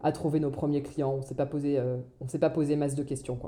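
A woman with a very deep, low pitch and a dark, mellow tone talks at a fairly quick pace. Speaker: entrepreneur. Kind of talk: casual chat. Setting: remote recording. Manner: halting.

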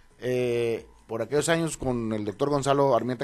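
At a moderate pace, a man uses a normal speaking voice, medium in pitch with fairly even intonation. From northern Mexico, Los Mochis, Sinaloa. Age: 50s. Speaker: politician, mayoral candidate. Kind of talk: radio interview. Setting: radio studio.

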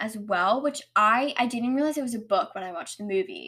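With an animated tone and lively intonation, a woman speaks at a fairly high pitch. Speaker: solo podcast host reviewing books. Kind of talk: casual monologue. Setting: home recording with microphone and camera.

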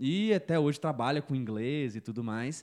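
A man's plain, everyday voice at medium pitch, with ordinary pitch variation, a fairly quick pace and a quiet background. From Belo Horizonte, Brazil. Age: 20s. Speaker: digital marketing entrepreneur. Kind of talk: casual interview chat.

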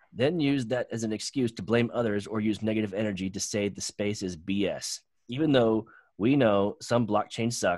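Here a man has a normal speaking voice, fairly low in pitch with ordinary pitch variation. He goes at a moderate pace, and the sound is dry and close with no echo. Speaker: podcast host. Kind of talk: casual chat.

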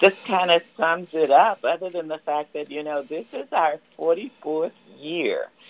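Big swings in loudness, ordinary pitch variation, and a dry, close sound with no echo. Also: woman. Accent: Southern US. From US South. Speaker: community volunteer. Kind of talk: radio interview. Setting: phone call.

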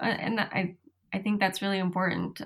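This is a woman speaking at medium pitch. Her voice is somewhat breathy. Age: 30s. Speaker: cardiology nurse. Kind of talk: casual interview.

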